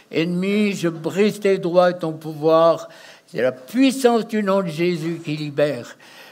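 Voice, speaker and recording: Over noticeable background noise, a man with a high pitch speaks at a very slow pace, using ordinary pitch variation. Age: 80s+. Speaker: deliverance minister. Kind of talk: deliverance prayer. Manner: forceful, commanding.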